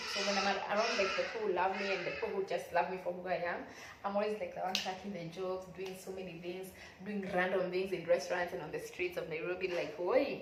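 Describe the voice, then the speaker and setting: A woman talks at a very fast pace in a monotone, flat way. Audible room echo and noticeable background noise fill the recording. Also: medium pitch for a woman. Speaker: YouTuber. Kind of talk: motivational vlog talk.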